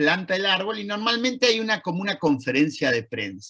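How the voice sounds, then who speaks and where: A man's voice with an Argentine accent and lively intonation. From Argentina. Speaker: Holocaust educator, lecturer. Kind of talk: lecture.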